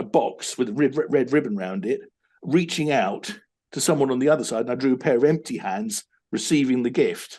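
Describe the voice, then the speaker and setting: Lively intonation marks this man's speech at a fairly quick pace. His tone is dark and mellow. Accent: British. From UK. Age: 50s. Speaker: business coach. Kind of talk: interview. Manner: halting, many repetitions.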